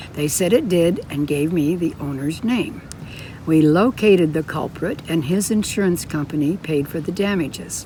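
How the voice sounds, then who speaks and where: A woman speaks at a moderate pace in a fairly low pitch. Her pitch varies ordinarily, with noticeable background noise behind her. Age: 90s. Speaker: amateur writer. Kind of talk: reading her own true story aloud.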